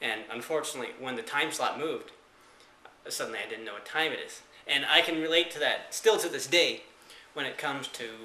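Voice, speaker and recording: A man is speaking, with audible room echo. Noticeable background noise runs underneath. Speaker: vlogger. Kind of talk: casual vlog monologue. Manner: slow; halting, many fillers.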